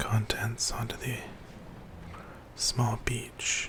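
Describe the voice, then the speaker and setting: The speech is whispered at a very slow pace. Noticeable background noise comes through as well. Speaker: ASMR channel host. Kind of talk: gaming walkthrough commentary. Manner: soft-spoken, whispering, relaxing.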